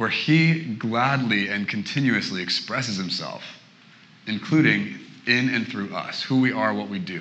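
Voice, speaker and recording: With a West Coast accent and lively intonation, the speaker talks at a fairly slow pace amid audible room echo. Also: man. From Portland, Oregon. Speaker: guest preacher. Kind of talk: sermon.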